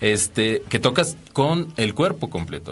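A man speaks in a plain, everyday voice. His intonation is lively and his pace moderate. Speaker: radio co-host. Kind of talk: casual chat.

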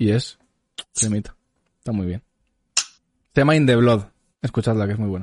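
At a moderate pace, a man with a medium-pitched voice and ordinary pitch variation leaves long, frequent pauses, recorded dry and close with no echo. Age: 20s. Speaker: podcast host. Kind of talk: casual chat.

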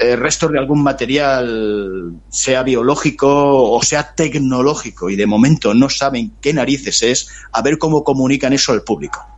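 A man talks very slowly at a medium pitch, with ordinary pitch variation. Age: 60s. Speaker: author. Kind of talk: interview.

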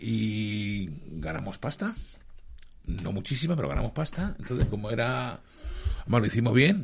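A man with vocal fry and a medium pitch talks at a moderate pace, leaving long, frequent pauses. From Australia, born in Madrid. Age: 50s. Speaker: music photographer. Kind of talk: interview. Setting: studio.

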